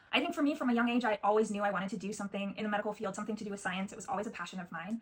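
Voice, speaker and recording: Over noticeable background noise, a woman talks very fast at medium pitch with ordinary pitch variation. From US Pacific Northwest. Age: 20s. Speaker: genetic counseling assistant and program applicant. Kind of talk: video interview self-introduction. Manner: hesitant with many fillers.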